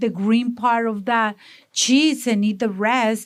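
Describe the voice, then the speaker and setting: A woman speaks very slowly with a strong Mexican accent. The recording is very clean, with a silent background. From Mexico, Monterrey. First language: Spanish. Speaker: salsa business owner. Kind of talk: interview. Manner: energetic.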